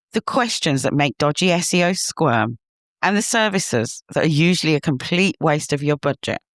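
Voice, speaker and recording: With a British accent, a woman speaks at a very deep, low pitch. Her pace is moderate and her intonation lively. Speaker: podcast host, SEO consultant. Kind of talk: podcast monologue. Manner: loud; animated.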